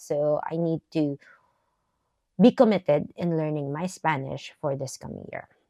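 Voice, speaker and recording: A woman speaks with a Filipino accent at a moderate pace, her pitch varying in an ordinary way. The sound is dry and close with no echo, over a quiet background. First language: Tagalog. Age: 40s. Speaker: vlogger. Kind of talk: casual chat. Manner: casual, hesitant with fillers.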